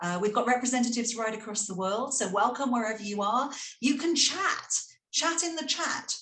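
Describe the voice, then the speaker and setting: A high-pitched woman with a British accent and lively intonation. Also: fairly quick pace. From Britain. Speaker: school leader and panel moderator. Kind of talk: webinar panel moderation.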